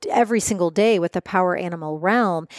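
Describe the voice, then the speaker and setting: In a dry, close sound with no echo, a woman with an unremarkable speaking voice talks at a moderate pace, her medium pitch showing ordinary variation. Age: 40s. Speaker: shaman and author. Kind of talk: casual chat. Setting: in person recording.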